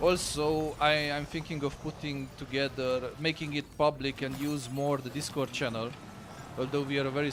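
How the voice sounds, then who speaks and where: A man with an Eastern European accent and a fairly high pitch speaks at a moderate pace with fairly even intonation. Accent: East European. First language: Romanian. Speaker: gaming streamer. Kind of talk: live stream chat.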